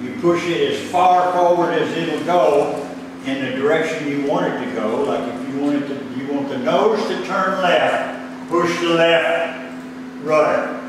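Amid noticeable background noise and strong room echo, a man speaks with a fairly high pitch and ordinary pitch variation. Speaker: flight instructor. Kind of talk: lecture on aviation charts and emergency rules. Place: classroom. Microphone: camera far.

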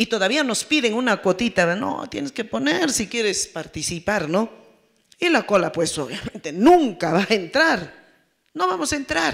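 Her pitch swings very widely as the woman speaks at a moderate pace. The background is quiet. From Peru, Apurímac; Peru. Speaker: peasant federation representative; panelist. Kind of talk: panel talk. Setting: forum with audience. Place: hall. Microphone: handheld.

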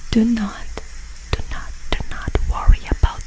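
A woman whispers, soft-spoken and very slow, in a dry sound with no echo and light background noise. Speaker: ASMR creator. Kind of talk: ASMR Bible reading and prayer. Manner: whispered, soft-spoken. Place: home room. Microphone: studio mic.

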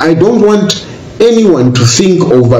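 Audible room echo and light background noise around a man's speech. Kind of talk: personal video statement. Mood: earnest, grateful. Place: home room.

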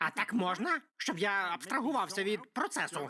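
At a moderate pace, someone uses a put-on character voice pitched fairly high. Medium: fan dub. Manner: blunt, goofy.

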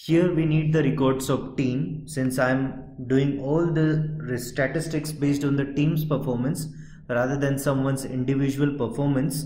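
A man's monotone, flat delivery at a fairly high pitch and moderate pace, with very even loudness, audible room echo and noticeable background noise. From India. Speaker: software trainer. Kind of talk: tutorial. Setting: outdoors at a stadium.

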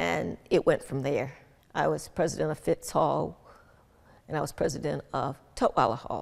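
With a Southern US accent, a woman speaks at a moderate pace against a quiet background. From Birmingham, Alabama. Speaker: retired business executive. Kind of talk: interview. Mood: warm, reflective. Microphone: lapel.

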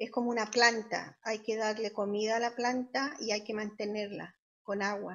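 A woman speaks at a fairly high pitch in a monotone, flat intonation against a quiet background. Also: moderate pace. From Chile. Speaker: social worker and health interpreter; interview guest. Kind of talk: interview answer. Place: home room. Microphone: video call.

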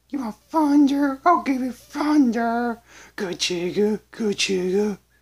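This is a put-on character voice. It is fairly high in pitch and fairly slow in pace.

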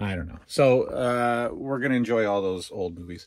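Lively intonation from a man at medium pitch, fairly slow in pace, with a slightly mellow tone

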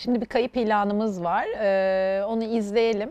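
Using fairly even intonation, a woman talks at a fairly slow pace and a fairly high pitch. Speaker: TV show host. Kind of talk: interview. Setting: studio. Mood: warm, smiling. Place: studio. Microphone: lapel.

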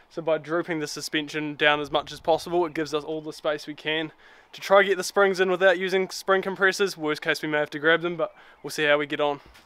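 A man speaks at a very fast pace with a bright, sharp tone and monotone, flat intonation. The sound is dry, with no echo. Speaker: 4WD vlogger. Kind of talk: casual vlog chat. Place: street. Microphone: phone near.

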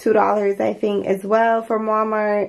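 The speaker is a woman. Her speed is moderate. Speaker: home decor vlogger. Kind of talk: casual vlog chat. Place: bathroom.

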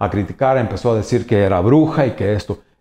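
A man talks at a fairly quick pace. His tone is dark and mellow, with ordinary pitch variation. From Mexico, Jalisco. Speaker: painter. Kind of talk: interview monologue. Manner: halting, many fillers and repetitions. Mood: warm, reflective storytelling. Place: office.

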